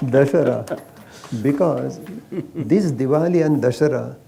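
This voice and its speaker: Man with an Indian accent, a fairly high pitch and a fairly slow pace. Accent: Marathi-accented Indian English. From Maharashtra, India. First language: Marathi. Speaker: ayurveda practitioner. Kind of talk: interview.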